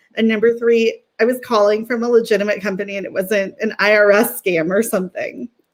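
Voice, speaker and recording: A woman with a Californian accent, fairly high-pitched, fairly quick and fairly even in intonation. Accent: California. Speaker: sales professional. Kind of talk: interview.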